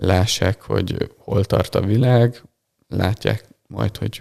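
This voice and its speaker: The sound is dry and close with no echo as a man speaks in a fairly low pitch with vocal fry, a dark, mellow tone, and fairly even intonation. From Hungary, Balassagyarmat. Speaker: physiotherapist and techball coach. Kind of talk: interview. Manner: hesitant, many fillers.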